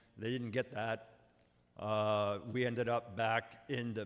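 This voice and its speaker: Talking very slowly in a monotone, flat way, a man at medium pitch speaks with a Canadian Prairie accent. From Manitoba, Canada. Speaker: lawyer. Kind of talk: presentation. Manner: halting.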